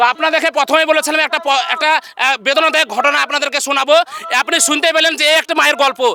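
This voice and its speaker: A man's raised, projected voice at an extremely high pitch, very even in loudness with fairly even intonation, over noticeable background noise. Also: dry, close sound with no echo. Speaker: street video host. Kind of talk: casual talk to camera.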